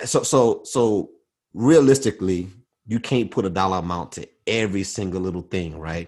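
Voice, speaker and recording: Over a quiet background, a man with a fairly low pitch speaks with ordinary pitch variation and big swings in loudness. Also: moderate pace. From US South. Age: 40s. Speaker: podcast guest, aviation worker. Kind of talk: casual chat. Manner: halting, many fillers and repetitions.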